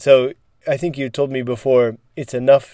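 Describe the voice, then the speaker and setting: A man talks at a medium pitch in a dark, mellow tone. The recording is very clean with a silent background, and the sound is dry and close with no echo. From United States. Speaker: English teacher and podcast co-host. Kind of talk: casual chat.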